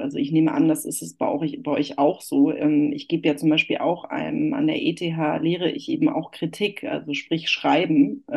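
A woman speaks at a moderate pace with hardly any pauses. Noticeable background noise runs underneath. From northern Germany, Hamburg. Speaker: journalist and architecture critic. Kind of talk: interview. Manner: many filler sounds (äh, ähm).

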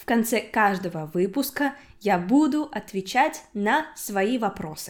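A woman speaks very slowly at a fairly high pitch, with very wide pitch swings. The recording is very clean, with a silent background. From Udmurtia, Russia. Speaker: podcast host, Russian language teacher. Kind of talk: language-learning podcast monologue.

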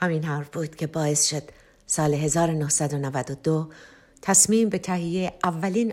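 A woman's very deep, low voice with fairly even intonation at a moderate pace, on a very clean recording with a silent background. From Tehran, Iran. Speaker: singer-songwriter. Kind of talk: autobiographical narration.

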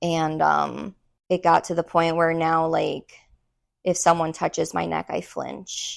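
A woman talks at a fairly slow pace with an American accent. The background is quiet. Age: 30s. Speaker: podcast co-host. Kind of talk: casual chat.

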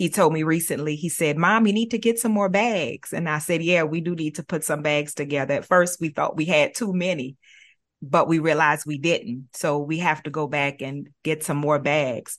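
This woman's pitch is very deep and low. It rises and falls in an ordinary manner. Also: moderate pace. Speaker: early learning nonprofit director. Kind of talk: podcast conversation.

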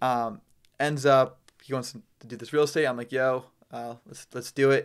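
A man's normal speaking voice, medium in pitch, with fairly even intonation. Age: 20s. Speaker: real estate wholesaler, entrepreneur. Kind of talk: casual interview.

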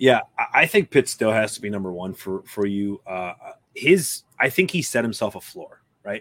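Heard in a dry, close sound with no echo, a man with an unremarkable speaking voice talks at medium pitch and a moderate pace, with lively intonation and big swings in loudness. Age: 30s. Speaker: fantasy football podcast host. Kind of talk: casual chat.

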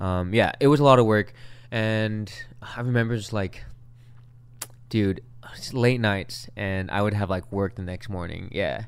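A man's fairly low voice in a Californian accent, fairly slow and fairly even in intonation, with long, frequent pauses. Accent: Californian American. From Long Beach, California. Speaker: musician. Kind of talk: casual chat.

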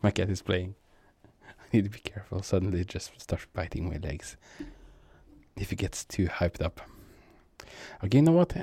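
A man with a non-native accent speaks at a fairly quick pace in a very deep, low, dark, mellow voice that is somewhat breathy, with long, frequent pauses and big swings in loudness. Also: ordinary pitch variation. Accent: non-native accent, speaker working on it. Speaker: gaming streamer. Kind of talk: casual gameplay commentary. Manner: halting, many fillers.

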